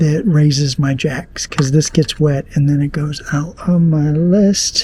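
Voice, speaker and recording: Over noticeable background noise, a man speaks at a fairly slow pace with a fairly high pitch and fairly even intonation. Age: 60s. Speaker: RV travel vlogger. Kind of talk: casual vlog narration. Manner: conversational.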